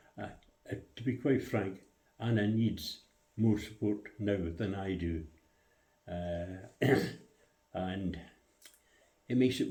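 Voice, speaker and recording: In a room with audible echo, a somewhat breathy man with a dark, mellow tone and fairly low pitch speaks at a fairly slow pace. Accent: Scottish. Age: 90s. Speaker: RAF veteran. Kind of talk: interview. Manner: halting, many hesitations.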